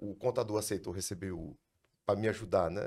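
A man at a fairly quick pace with vocal fry, on a very clean recording with a silent background. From Brazil, Ceará interior. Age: 60s. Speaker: lawyer, law firm founder. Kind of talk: casual interview chat.

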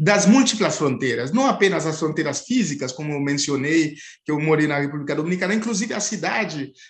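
Lively intonation colors this speech. It moves along at a fairly quick pace. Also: man, fairly high pitch for a man. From Haiti. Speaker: anthropology professor. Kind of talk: interview. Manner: halting, many fillers.

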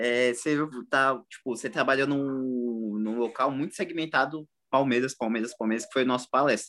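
This man has an unremarkable speaking voice at a medium pitch. He keeps a moderate pace with fairly even intonation. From East Zone of São Paulo, Brazil. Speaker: podcast co-host. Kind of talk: casual chat.

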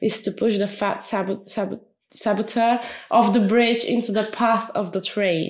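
This woman talks at a moderate pace, with a fairly high pitch and a Bulgarian accent. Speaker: podcast co-host. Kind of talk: casual chat. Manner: animated.

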